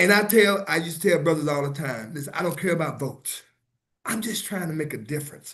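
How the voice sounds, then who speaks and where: A man talks in a normal speaking voice, his pitch varying in an ordinary way. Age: 60s. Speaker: fraternity leader and businessman. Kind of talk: interview on livestream.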